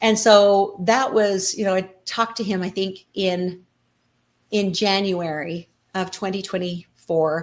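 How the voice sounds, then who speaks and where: A woman has an unremarkable speaking voice. She speaks at a medium pitch with fairly even intonation. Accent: American. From Colorado City, Arizona-Utah border. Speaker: nonprofit co-founder, former FLDS member. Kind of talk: interview answer.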